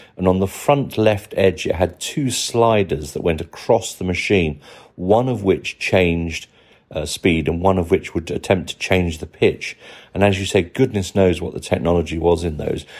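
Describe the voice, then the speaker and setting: This man has a British accent and a very deep, low pitch. He speaks at a moderate pace with ordinary pitch variation. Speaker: listener contributor. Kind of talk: recorded voice message. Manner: halting.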